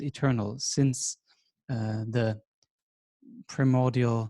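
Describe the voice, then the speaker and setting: Speaking at a very slow pace, a man uses a dark, mellow tone and fairly even intonation, with a dry, close sound and no echo. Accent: German. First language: German. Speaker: teacher. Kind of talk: lecture.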